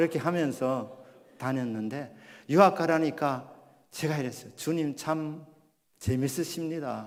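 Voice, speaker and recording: The speech moves at a fairly slow pace with ordinary pitch variation and long, frequent pauses. Room echo is audible. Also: man, fairly high pitch for a man. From Gyeongsang region, South Korea. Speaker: pastor. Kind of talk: sermon.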